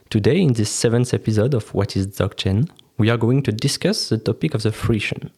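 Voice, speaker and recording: Somewhat breathy and dark, mellow in tone, the voice speaks at a fairly quick pace with a French accent. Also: man, medium pitch for a man, ordinary pitch variation, very even loudness. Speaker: podcast host. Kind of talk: interview.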